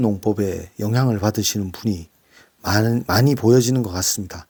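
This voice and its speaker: In a very clean recording with a silent background, a man speaks at medium pitch with ordinary pitch variation and a dark, mellow tone. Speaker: book reviewer. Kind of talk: casual talk. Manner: halting with fillers.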